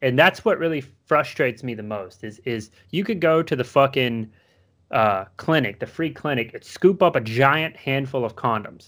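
In a very clean recording with a silent background, a man with an American accent and an unremarkable speaking voice talks at a moderate pace, his medium pitch carrying lively intonation. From US South. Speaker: podcast co-host. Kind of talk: casual chat.

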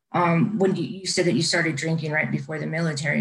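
A woman speaks in a very deep, low voice with fairly even intonation. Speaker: podcast co-host. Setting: video call.

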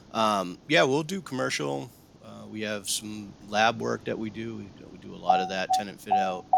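A normal speaking voice from a man with an American accent, fairly low in pitch, at a moderate pace with big swings in loudness. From Massachusetts, South Shore, south of Boston. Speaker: construction technology director and former paratrooper. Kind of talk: casual interview conversation.

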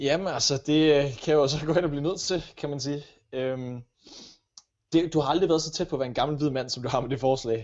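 This man has an unremarkable speaking voice, fairly high in pitch, with fairly even intonation at a moderate pace. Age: 20s. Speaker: podcast co-host, radio presenter. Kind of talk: casual chat. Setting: home kitchen.

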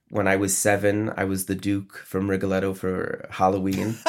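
A man with an American accent, fairly low in pitch, a plain, everyday voice at a moderate pace, very clean recording with a silent background. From upstate New York. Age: 30s. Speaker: opera conductor. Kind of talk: interview.

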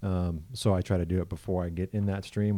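With an American accent, a man speaks in a very deep, low pitch and a dark, mellow tone, moving at a fairly quick pace in a monotone, flat intonation. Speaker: podcast host. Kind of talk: casual chat.

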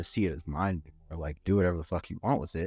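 A man with an American accent and a very deep, low pitch, in a dry, close sound with no echo and a quiet background. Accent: Californian, Mexican American. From San Fernando Valley, Los Angeles. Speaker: artist. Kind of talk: casual chat. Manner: casual, filler-heavy.

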